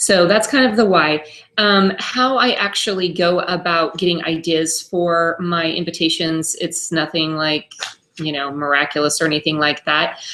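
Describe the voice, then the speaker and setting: This woman has a fairly low pitch, ordinary pitch variation and a plain, everyday voice. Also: moderate pace. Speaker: home party consultant. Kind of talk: tutorial. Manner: casual, many fillers.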